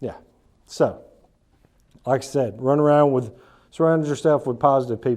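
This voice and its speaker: With an Alabama accent, a man talks at a moderate pace in a fairly high, dark and mellow voice. His intonation stays fairly even, broken by long, frequent pauses. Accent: Alabama Southern US. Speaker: business speaker. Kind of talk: talk to a small group. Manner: casual, repetitive false starts.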